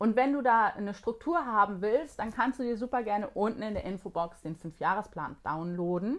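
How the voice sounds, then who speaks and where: A woman with a normal speaking voice talks at a moderate pace with hardly any pauses, her fairly high pitch carried by lively intonation. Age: 40s. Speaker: productivity coach and online course creator. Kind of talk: vlog-style tutorial.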